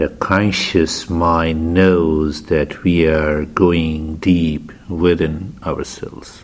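A man with a very deep, low pitch, a calm tone, a very slow pace, and monotone, flat intonation. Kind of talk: guided meditation. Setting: studio. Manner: slow, calm, soft-spoken, with long pauses; gentle, instructional.

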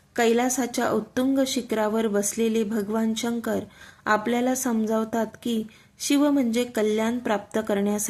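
This is plain reading aloud. Pitch stays fairly even from phrase to phrase.

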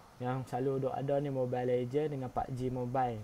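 This is a man speaking. He has a northern Malaysian accent. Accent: northern Malay dialect. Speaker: gaming YouTuber. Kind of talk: tutorial. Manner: casual, filler-heavy.

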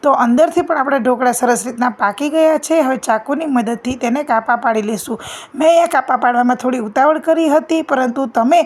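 A woman's pitch moves in an ordinary way, with noticeable noise behind her. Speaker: home cook. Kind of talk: cooking tutorial.

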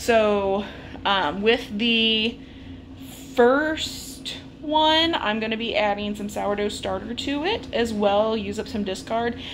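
A woman speaks at a very slow pace with ordinary pitch variation. Light background noise can be heard. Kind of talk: casual vlog chat. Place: kitchen. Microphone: phone near.

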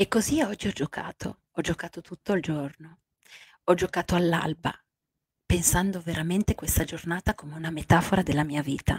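Against a quiet background, a somewhat breathy voice keeps a fairly even intonation, recorded dry with no echo. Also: woman, fairly low pitch for a woman. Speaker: life coach. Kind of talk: late-night radio-style coaching talk. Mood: warm, soft, emotional. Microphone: handheld.

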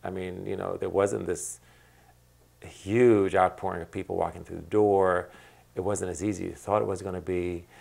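At a moderate pace with long, frequent pauses, a man talks in a very deep, low pitch and a monotone, flat intonation. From Iraq (childhood), then US from 1966. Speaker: restaurant owner, artist and activist. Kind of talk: interview. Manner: halting, many repetitions and fillers. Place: home room.

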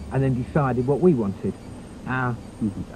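A man talks at a fairly quick pace, the sound dry with no echo but with noticeable background noise. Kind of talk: documentary interview. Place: garden.

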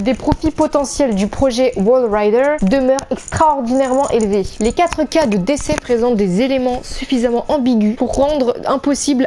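At a moderate pace, a woman talks with a high pitch and hardly any pauses. Light background noise can be heard. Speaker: gaming youtuber. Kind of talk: let's play commentary and reading aloud. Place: home room. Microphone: webcam.

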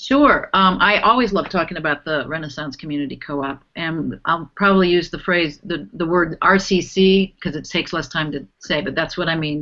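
A woman speaks in an ordinary speaking voice with an American accent, her pitch fairly low and ordinary in its variation, at a moderate pace against a quiet background. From Cleveland, Ohio, US Midwest; raised from teens in North Carolina. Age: 50s. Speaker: nonprofit fund director; panelist. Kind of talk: panel discussion. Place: home room. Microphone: video call.

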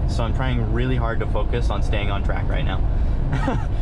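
A man talks over loud background noise. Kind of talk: casual vlog chat. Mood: mildly frustrated, relaxed. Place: car.

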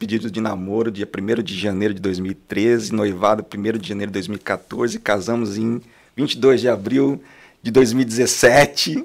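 A very slow pace with ordinary pitch variation. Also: man, fairly low pitch for a man. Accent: strong northern Paraná. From Londrina, northern Paraná, Brazil; Paraná, Brazil. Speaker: franchise business owner; podcast guest. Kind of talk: casual interview. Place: studio. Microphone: studio mic.

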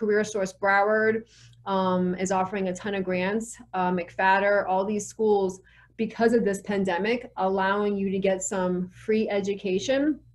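With an American accent, the speaker talks at a fairly slow pace in a monotone, flat delivery over a quiet background. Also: woman. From US South. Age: 40s. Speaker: real estate professional and educator. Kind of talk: interview.

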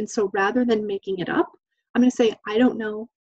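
A woman's fairly high voice, an unremarkable speaking voice, at a fairly quick pace with a dry, close sound and no echo. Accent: American. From Idaho, US. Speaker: domestic violence training specialist. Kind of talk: webinar presentation. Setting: online webinar.

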